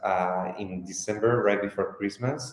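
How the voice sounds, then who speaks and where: A man talks with a Spanish accent. His pitch variation is ordinary. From Spain. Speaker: fashion company co-founder. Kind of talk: interview.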